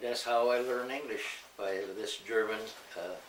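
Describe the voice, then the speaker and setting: A man speaking at a fairly slow pace amid noticeable background noise and audible room echo. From US Midwest (Ohio, Michigan), Mexican family. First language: Spanish. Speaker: family elder telling his life story. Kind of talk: oral history interview.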